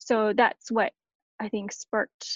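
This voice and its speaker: Very slowly, a woman talks in a fairly high pitch. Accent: Canadian. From Canada. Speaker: blogger and churchgoer. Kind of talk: casual chat.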